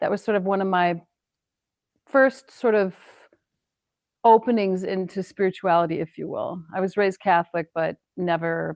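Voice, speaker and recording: A woman with an American accent speaks at a moderate pace in a fairly low pitch with ordinary pitch variation. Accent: sounds a little more Canadian than American. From US Midwest, Wisconsin. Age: 60s. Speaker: painter. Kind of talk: casual chat.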